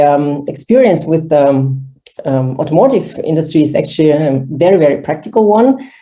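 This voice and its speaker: The woman's pitch sits very deep and low, with a dark, mellow tone. Her pitch varies in an ordinary way, and room echo is audible. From Kazakhstan, Russian-German family, moved to Germany at 14. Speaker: conference organizer, managing director. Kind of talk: online workshop presentation.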